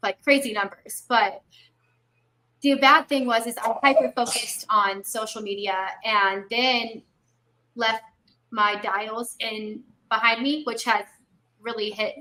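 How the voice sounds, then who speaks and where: A woman with an American accent, fairly high in pitch and bright, sharp in tone, at a very slow pace with long, frequent pauses and ordinary pitch variation. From Texas, Fort Worth. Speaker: health insurance agent. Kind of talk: interview.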